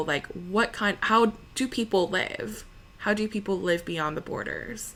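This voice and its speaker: A woman with an American accent speaks at a fairly slow pace with ordinary pitch variation. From US, Los Angeles (Koreatown) then elsewhere in US. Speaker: opera singer (mezzo-soprano). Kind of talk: interview conversation.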